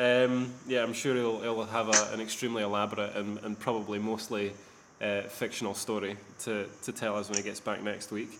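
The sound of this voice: A man speaks at a fairly low pitch and a fairly quick pace. There is little pitch movement, and the room echo is audible.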